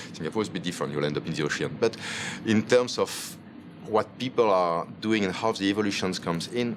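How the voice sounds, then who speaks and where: Talking very fast with lively intonation, a man speaks in a fairly low pitch with a Belgian French accent. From Belgium (Wallonia). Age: 50s. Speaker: chef and restaurant owner. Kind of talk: interview.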